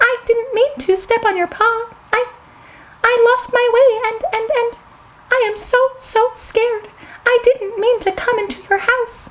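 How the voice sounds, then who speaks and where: A woman uses a put-on character voice, squeaky and extremely high. She keeps a moderate pace. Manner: pleading, scared.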